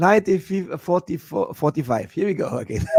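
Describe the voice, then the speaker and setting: This man talks with a German accent at a moderate pace. The sound is dry and close, with no echo. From Germany. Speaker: podcast host and Elvis tribute performer. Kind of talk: casual interview chat. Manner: halting, repeats words.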